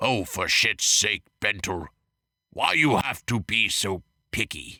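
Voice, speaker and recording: Recorded very cleanly against a silent background, a man uses a gruff, raspy put-on character voice, fairly low in pitch, at a fairly slow pace. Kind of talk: comic overacting. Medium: read story. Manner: broken grammar, dropped articles, gruff.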